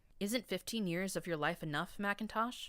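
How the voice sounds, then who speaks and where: Someone delivers a put-on character voice at a moderate pace. The recording is very clean with a silent background. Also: woman, medium pitch for a woman. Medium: read story.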